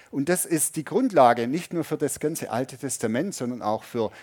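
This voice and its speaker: A man's voice in a dry, close sound with no echo. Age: 50s. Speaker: pastor. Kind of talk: sermon. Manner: conversational, audience-addressing.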